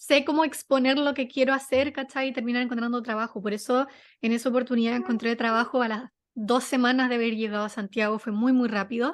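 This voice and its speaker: A woman speaks very fast with a Chilean accent, her pitch high and her intonation fairly even. The background is quiet. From Chile, Viña del Mar. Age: 20s. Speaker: journalist and content manager. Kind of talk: interview. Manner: casual, many fillers.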